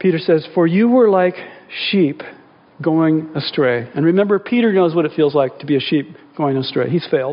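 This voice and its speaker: A man with a plain, everyday voice, fairly high pitch and ordinary pitch variation. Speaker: pastor. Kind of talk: sermon. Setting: church. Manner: earnest, intimate, slow prayer voice.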